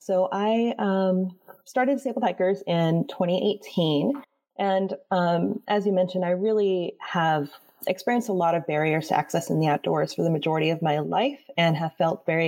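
A woman with an American accent and fairly low pitch uses a plain, everyday voice at a moderate pace, with ordinary pitch variation and very even loudness. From Florida, US South. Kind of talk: interview conversation. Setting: live stream.

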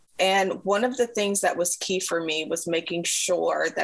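A woman talks while noticeable background noise can be heard. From Africa, raised in the US by African parents. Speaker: mental health professional. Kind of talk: interview.

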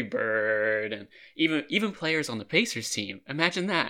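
A man's voice with a bright, sharp tone. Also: very clean recording, silent background. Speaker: sports podcast host. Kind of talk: casual sports chat with comedy skit intro.

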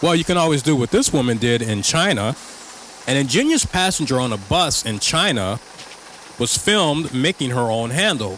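Through noticeable background noise, a man talks at a medium pitch with lively intonation. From Chicago. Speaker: podcast host. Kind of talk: casual monologue commentary.

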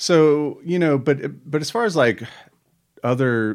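A man with an American accent, an unremarkable speaking voice and ordinary pitch variation, on a very clean recording with a silent background. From Charlotte, North Carolina. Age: 40s. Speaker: musician. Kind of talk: casual chat.

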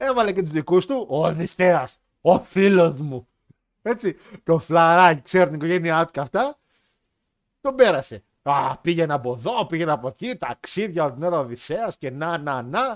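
A man's high voice with very wide pitch swings at a fairly slow pace, dry and close with no echo in a very clean recording with a silent background. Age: 20s. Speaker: podcast host. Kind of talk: casual chat.

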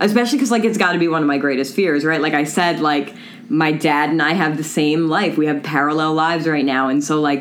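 A woman with an American accent speaks at a very fast pace in a very deep, low pitch, her intonation lively. Audible room echo and noticeable background noise come through. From Long Island, New York. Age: 30s. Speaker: counselor. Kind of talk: casual chat.

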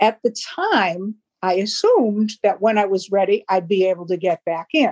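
A woman speaks at a medium pitch with an American accent and a dark, mellow tone. The sound is dry and close, with no echo. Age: 70s. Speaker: retired teacher and HR worker. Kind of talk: casual interview.

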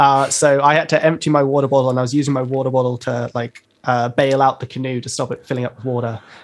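In a London accent, the speaker talks at a very fast pace with monotone, flat intonation. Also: man, medium pitch for a man. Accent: British English, London. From London, England. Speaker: rapper and producer. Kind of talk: casual interview chat. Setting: video call live stream.

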